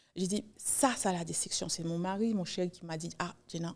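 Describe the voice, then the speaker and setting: Moderate pace and fairly even intonation from a woman with a medium-pitched voice. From New York (Haitian-born, arrived age two). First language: English (speaking French). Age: 40s. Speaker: writer. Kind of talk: podcast interview. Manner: halting, with frequent repetitions.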